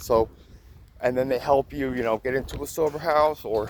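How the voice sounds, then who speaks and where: Pitch variation in this man's speech is ordinary. Noticeable background noise sits beneath him. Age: 30s. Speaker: vlogger in addiction recovery. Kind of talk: personal testimony vlog. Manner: halting.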